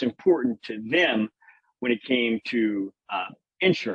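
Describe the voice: Lively intonation and a fairly bright tone with a slightly husky edge mark this voice with a Louisiana accent. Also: man. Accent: Louisiana Southern American.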